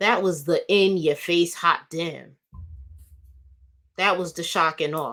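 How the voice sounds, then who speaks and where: A woman is talking. Her voice sits fairly low. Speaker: commentary vlogger. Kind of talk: casual commentary monologue. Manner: talkative, rambling with fillers.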